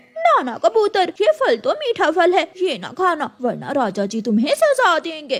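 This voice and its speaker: A woman performs a cartoonish character voice at an extremely high pitch with very wide pitch swings. She goes at a moderate pace with hardly any pauses. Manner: sly.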